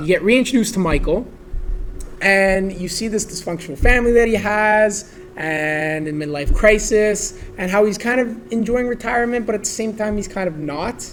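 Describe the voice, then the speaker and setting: The man speaks at a moderate pace with a high pitch and ordinary pitch variation. There is noticeable background noise. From Vaughan, Ontario, Canada. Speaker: real estate agent, podcast guest. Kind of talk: casual conversation about a video game.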